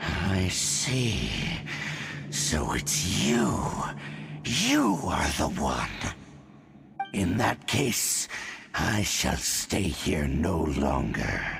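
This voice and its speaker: A growling, put-on character voice speaks at a very slow pace with long, frequent pauses. Clear music plays in the background. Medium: video game. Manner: cold, menacing, arrogant.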